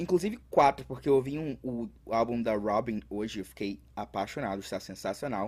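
An ordinary speaking voice moves at a moderate pace with lively intonation. There are hardly any pauses. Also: man, medium pitch for a man. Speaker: podcast co-host. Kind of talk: casual chat. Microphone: echo in recording.

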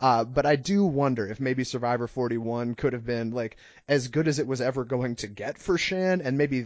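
This man uses a normal speaking voice, pitched at a medium level and paced moderately. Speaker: podcast co-host. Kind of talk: casual chat.

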